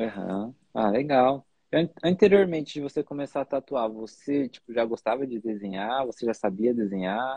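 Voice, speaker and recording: A man with a plain, everyday voice talks at a moderate pace, his medium pitch showing ordinary variation. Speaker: podcast host, tattoo artist. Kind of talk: interview. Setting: video call.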